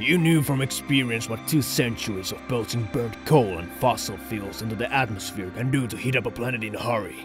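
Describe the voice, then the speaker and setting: Over clear music in the background, a man performs a put-on character voice at a fairly quick pace. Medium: dub.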